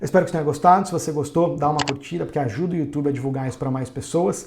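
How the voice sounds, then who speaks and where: A man talks at a very fast pace with a fairly high pitch and ordinary pitch variation. Background noise is noticeable. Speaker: day trading educator. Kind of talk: tutorial. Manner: hesitant fillers.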